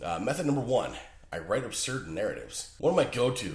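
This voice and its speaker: A man rattles through his words very fast while noticeable background noise plays. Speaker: writer and podcaster. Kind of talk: podcast talk. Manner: casual, joking.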